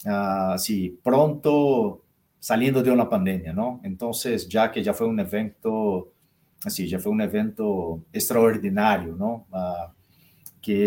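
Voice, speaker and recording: A man speaks with a Portuguese accent at a fairly low pitch. His pace is fairly slow. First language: Portuguese (speaking Spanish). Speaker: consulting firm partner. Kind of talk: live interview. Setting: live stream.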